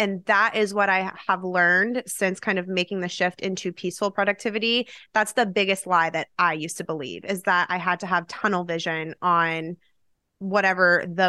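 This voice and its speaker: On a very clean recording with a silent background and a dry, close sound with no echo, a woman speaks in a bright, sharp tone with fairly even intonation. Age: 30s. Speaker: productivity coach and podcast host. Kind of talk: casual interview chat.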